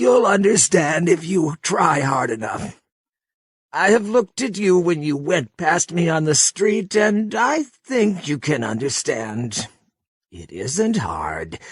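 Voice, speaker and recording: A man puts on a shaky, high-pitched character voice, swinging his pitch very widely at a fairly slow pace. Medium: read story. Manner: halting, confessional.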